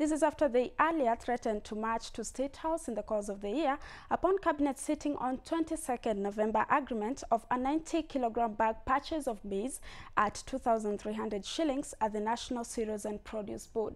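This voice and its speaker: A woman with a high pitch and a Kenyan accent. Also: ordinary pitch variation, moderate pace. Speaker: news anchor. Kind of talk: newsreading. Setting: studio. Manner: formal, brisk, steady news-anchor delivery. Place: studio.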